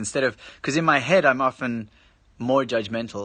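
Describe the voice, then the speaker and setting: Against a quiet background, a man with an American accent talks in a bright, sharp tone. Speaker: live streamer and musician. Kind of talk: casual live stream chat. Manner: halting, many false starts.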